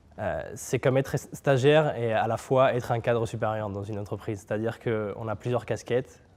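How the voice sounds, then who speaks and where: Fairly even intonation at a moderate pace comes through on a very clean recording with a silent background. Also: man. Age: 20s. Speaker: neuroscience PhD and start-up founder. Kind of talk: interview. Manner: hesitant, many filler sounds.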